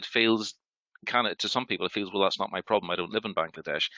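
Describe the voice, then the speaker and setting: A man speaks with a Northern Irish accent. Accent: Northern Irish (Belfast). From Northern Ireland, Belfast. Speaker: healthcare sustainability panelist. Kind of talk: panel discussion. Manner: halting.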